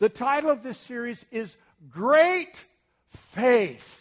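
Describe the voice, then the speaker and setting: Dry and close with no echo, a man's extremely high-pitched voice carries an animated tone with ordinary pitch variation. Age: 60s. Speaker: pastor. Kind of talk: sermon. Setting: church with congregation.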